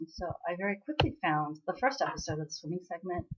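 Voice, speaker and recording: Somewhat breathy and in an American accent, a woman speaks at a medium pitch and a moderate pace with lively intonation. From US (immigrated from Korea at age five). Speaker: drama vlogger. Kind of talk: casual chat. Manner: animated.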